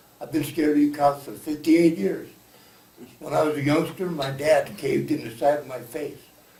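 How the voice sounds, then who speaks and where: The speaker keeps a moderate pace and fairly even intonation, with noticeable background noise and audible room echo. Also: man. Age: 60s. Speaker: public commenter at city forum. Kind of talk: public comment at community meeting. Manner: impassioned.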